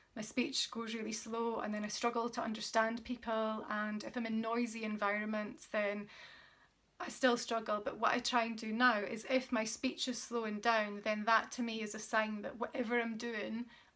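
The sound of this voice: A woman speaks at a moderate pace with a fairly bright tone. Her pitch sits fairly high and moves little.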